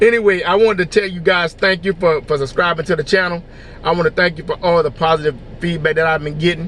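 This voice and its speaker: Against noticeable background noise, a man with a high pitch talks at a very fast pace with fairly even intonation. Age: 50s. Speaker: motivational vlogger. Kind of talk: inspirational talk.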